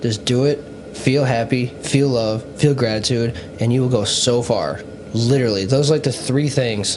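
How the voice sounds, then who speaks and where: The speech has very even loudness and fairly even intonation. Noticeable background noise and audible room echo come through. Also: man, medium pitch for a man. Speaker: podcast host. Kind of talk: casual chat. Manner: fast.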